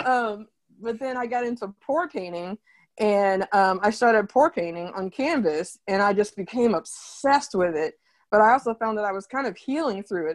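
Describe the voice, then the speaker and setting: A woman with an ordinary speaking voice and an American accent talks at a moderate pace with lively intonation and a fairly high pitch. The recording is very clean and dry, close, with no echo and a silent background. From Oklahoma, Tulsa. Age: 30s. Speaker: artist. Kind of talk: interview.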